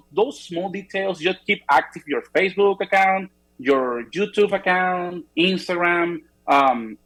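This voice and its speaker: A fairly slow delivery in a non-native accent. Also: man. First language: not English. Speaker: real estate photographer. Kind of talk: interview. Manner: halting, frequent repetitions.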